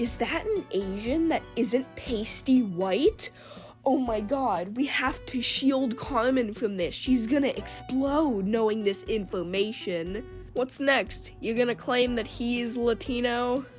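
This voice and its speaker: Music plays in the background as a woman speaks at a very slow pace. Her pitch is high. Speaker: YouTube commentator. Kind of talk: commentary video. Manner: casual talk to camera.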